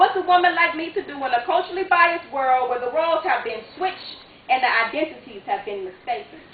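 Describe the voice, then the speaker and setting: An extremely high-pitched woman's voice at a very fast pace, lively in intonation, with big swings in loudness and noticeable background noise. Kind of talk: spoken word poetry performance. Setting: live theater stage.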